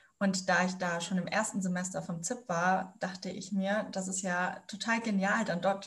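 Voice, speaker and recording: A woman's somewhat breathy, medium-pitched voice in a monotone, flat intonation. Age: 20s. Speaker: student teacher. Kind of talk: interview. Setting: video call.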